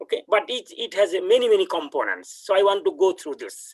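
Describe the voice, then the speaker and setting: With a Bengali accent, a man speaks at a moderate pace in dry, close sound with no echo. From India, West Bengal. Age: 60s. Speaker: professor. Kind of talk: lecture. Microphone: laptop audio without headphones.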